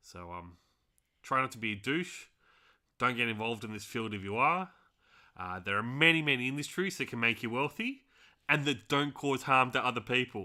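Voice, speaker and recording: This man has an Australian accent and a bright, sharp tone. His intonation is lively, and the recording is very clean with a silent background. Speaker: finance tutorial teacher. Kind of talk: tutorial. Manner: casual, hesitant with many fillers.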